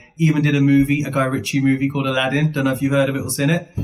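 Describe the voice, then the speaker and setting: A man with a Birmingham accent, medium in pitch. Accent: Birmingham English, shaped by school. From Birmingham, England (Handsworth). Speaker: IT consultant. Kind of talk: casual chat. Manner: playful.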